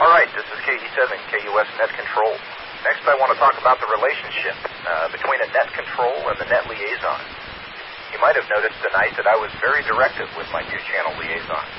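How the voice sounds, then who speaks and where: A calm-toned man at a fairly quick pace over noticeable background noise. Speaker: amateur radio net control operator. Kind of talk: radio dispatch net control: formal scripted opening, roll-call style, closing sign-off. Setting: amateur radio repeater net. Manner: formal, clipped and measured, reading frequencies in precise procedural phrasing; calm and businesslike, steady, directing the net with courteous authority.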